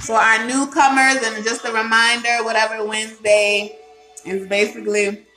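With clear music in the background, a woman speaks with ordinary pitch variation. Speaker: home cocktail host. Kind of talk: casual livestream chat. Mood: playful, laughing. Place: kitchen. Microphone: phone near.

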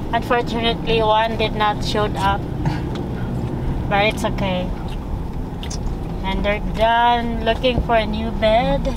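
Over noticeable background noise, a woman speaks at a very slow pace with a dry sound with no echo. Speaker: family vlogger driving. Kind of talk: casual vlog chat. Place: car.

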